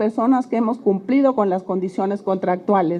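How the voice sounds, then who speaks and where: The voice belongs to a woman. Its tone is dark and mellow. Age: 60s. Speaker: retired oil company worker. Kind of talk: public testimony.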